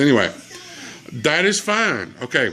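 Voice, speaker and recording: A man speaks with a Southern US accent. Music plays in the background. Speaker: gaming channel host. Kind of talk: casual chat.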